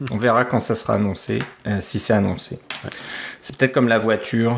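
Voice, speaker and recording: The man's fairly low-pitched voice moves with fairly even intonation. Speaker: tech podcast co-host. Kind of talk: casual tech chat.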